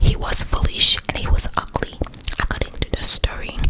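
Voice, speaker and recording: Whispering in a put-on character voice, a woman sounds breathy. She keeps a moderate pace. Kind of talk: ASMR bedtime story whisper. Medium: read story. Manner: slow, soothing, repeats words.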